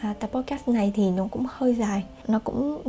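Noticeable background noise beneath a woman's speech, her pitch varying in an ordinary way. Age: 20s. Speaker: podcast host. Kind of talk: personal monologue.

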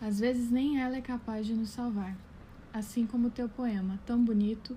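Her voice is fairly high and somewhat breathy. The woman's tone is dark and mellow. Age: 20s. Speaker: content creator, pedagogy graduate. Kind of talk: poetry reading.

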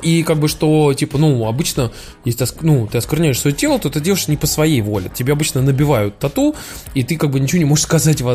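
A man with a fairly high, somewhat breathy voice races along at a very fast pace, his loudness very even throughout. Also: ordinary pitch variation. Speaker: podcast host. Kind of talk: casual chat, Q&A. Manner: informal, joking, swearing.

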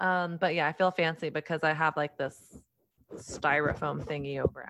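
With an American accent, a woman speaks in an unremarkable speaking voice at a moderate pace, with ordinary pitch variation. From Texas. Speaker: author and podcast host. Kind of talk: casual interview chat. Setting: video call.

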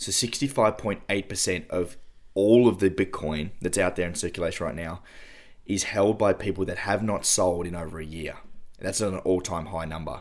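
This man's voice is very deep and low, with an Australian accent. He keeps a moderate pace and fairly even intonation. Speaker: podcast host. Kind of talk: casual chat.

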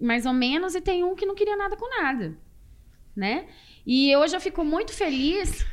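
A woman's extremely high pitch, very wide pitch swings, moderate pace and long, frequent pauses. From Brazil, Porto Velho (Rondônia). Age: 40s. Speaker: dentist. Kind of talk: casual interview.

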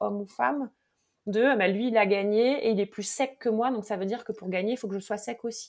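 A woman with an unremarkable speaking voice talks at a fairly quick pace. Her pitch is fairly high, with ordinary variation. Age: 40s. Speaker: mental performance coach. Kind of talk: interview.

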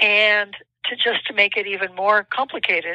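Recorded dry and close with no echo, a woman speaks in a bright, sharp tone with fairly even intonation. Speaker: professor. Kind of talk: interview. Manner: measured explanatory.

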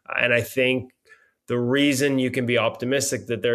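With a Canadian accent and a normal speaking voice, a man talks at medium pitch and a fairly quick pace against a quiet background. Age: 50s. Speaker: hockey journalist. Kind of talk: casual interview.

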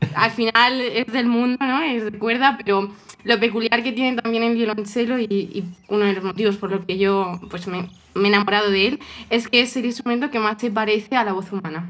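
A fairly high-pitched woman's voice keeps its intonation fairly even as she talks fairly quickly through noticeable background noise. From Spain, Toledo. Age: 20s. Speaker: cellist and coach. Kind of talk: casual interview.

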